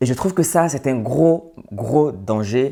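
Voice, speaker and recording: This man's intonation is lively. The recording is very clean and the background silent. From Côte d'Ivoire (urban, Senufo family). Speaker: social and business commentator. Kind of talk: monologue to camera.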